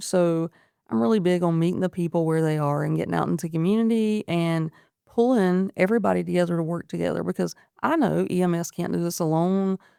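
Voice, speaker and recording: A woman with an American accent speaks at a fairly quick pace, her fairly low pitch varying in an ordinary way. Her tone is dark and mellow, and the recording is very clean with a silent background. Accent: noticeable country. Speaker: paramedic. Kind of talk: interview conversation. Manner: animated.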